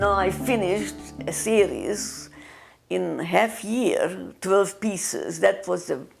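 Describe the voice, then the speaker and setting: A woman talks at a very slow pace. She speaks with a Hungarian accent. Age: 80s+. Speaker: artist. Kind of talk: casual chat. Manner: halting.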